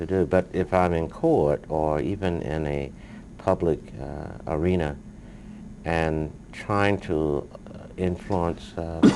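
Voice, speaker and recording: A soft-spoken man talks at a very deep, low pitch. His pace is very slow, with long, frequent pauses. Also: fairly even intonation. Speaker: civil rights lawyer. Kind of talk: interview. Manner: reserved, hesitant with many uh's.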